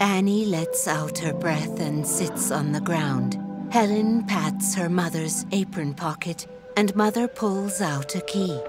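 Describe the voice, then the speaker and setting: Music plays behind a woman who talks very slowly at a medium pitch, her pitch varying in an ordinary way. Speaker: audio describer. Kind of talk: audio description narration.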